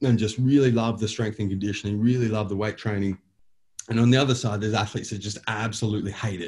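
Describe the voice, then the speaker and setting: A man with an Australian accent talks at a very fast pace and medium pitch, his voice somewhat breathy. His pitch varies in an ordinary way, and the recording is very clean with a silent background. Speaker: bodybuilder and company owner. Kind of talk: casual interview. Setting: boardroom.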